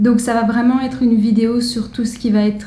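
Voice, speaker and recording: A woman with a fairly high pitch talks at a fairly slow pace in a monotone, flat intonation. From France. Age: 20s. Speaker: fashion vlogger. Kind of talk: casual vlog.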